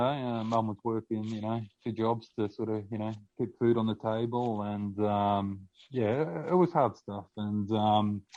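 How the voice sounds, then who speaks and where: A man's fairly low voice in an Australian accent, at a fairly slow pace with ordinary pitch variation. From Australia (Victoria). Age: 30s. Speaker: podcast guest sharing testimony. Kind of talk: testimony. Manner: halting, many fillers.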